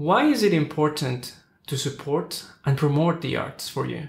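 In a room with audible echo, a man with a Spanish accent talks at a fairly high pitch and a moderate pace. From Ecuador. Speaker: podcast host and opera singer; podcast host. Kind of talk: casual interview, bilingual English/Spanish; scripted show intro. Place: studio.

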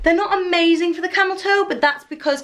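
A woman speaks at a very fast pace. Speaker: fashion vlogger. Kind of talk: casual vlog chat, product review. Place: home room. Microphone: camera far.

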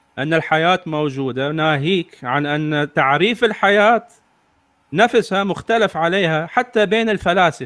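A man with a high pitch, speaking at a very slow pace. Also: lively intonation. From Iraq. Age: 40s. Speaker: atheist commentator, refugee aid worker. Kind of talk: casual online discussion.

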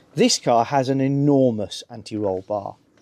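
The man's voice has a dark, mellow tone. He talks fairly slowly. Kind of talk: tutorial. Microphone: phone near.

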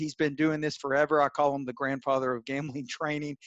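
A man speaks in a monotone, flat intonation, with a dry sound free of echo and a quiet background. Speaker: webinar host. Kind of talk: host introduction and announcements. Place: home room. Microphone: webcam.

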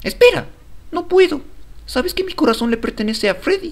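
Putting on a character voice, a man talks fairly quickly at an extremely high pitch. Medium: dub.

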